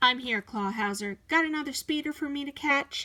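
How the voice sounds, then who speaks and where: A woman puts on a character voice pitched high. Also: moderate pace. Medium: read story. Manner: eager, earnest.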